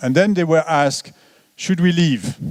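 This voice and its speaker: In a French accent, a man is speaking. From France. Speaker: economist. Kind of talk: lecture. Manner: halting.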